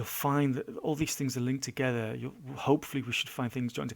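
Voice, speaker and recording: A man at a medium pitch with a British accent and fairly even intonation. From Britain. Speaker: blogger. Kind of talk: casual monologue. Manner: fast; halting, many fillers and repeats. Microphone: mic too close, lip smacking.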